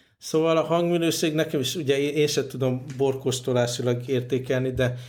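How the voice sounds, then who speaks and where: With a plain, everyday voice, a man talks at medium pitch and moderate pace with fairly even intonation. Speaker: podcast host. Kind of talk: casual chat.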